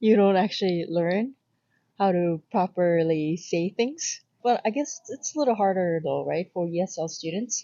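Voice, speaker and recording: With a Korean accent, a woman of medium pitch speaks at a moderate pace with lively intonation. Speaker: YouTuber. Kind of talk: casual chat.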